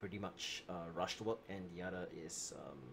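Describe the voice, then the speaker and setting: A man mumbles quietly. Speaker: livestreamer translating a game story. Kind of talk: casual livestream chat. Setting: home livestream at midnight. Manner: mumbling; quiet, kept low late at night.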